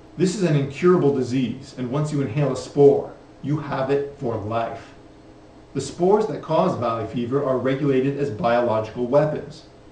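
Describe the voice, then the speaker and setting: Audible room echo and light background noise accompany a man's voice. He speaks at a moderate pace with a fairly high pitch and ordinary pitch variation. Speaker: health advocate presenter. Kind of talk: educational film narration. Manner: grave, urgent, formal; steady, measured, authoritative. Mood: serious, urgent warning. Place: studio.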